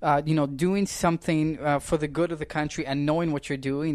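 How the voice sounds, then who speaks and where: A man speaks very fast with fairly even intonation. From Canada. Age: 20s. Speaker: political commentator. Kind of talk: casual interview chat.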